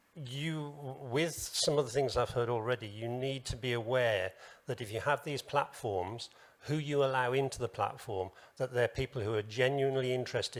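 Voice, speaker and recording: A man with a British accent speaks at a medium pitch and a fairly quick pace, with ordinary pitch variation. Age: 70s. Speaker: business association president and business owner. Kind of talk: panel discussion. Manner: hesitant.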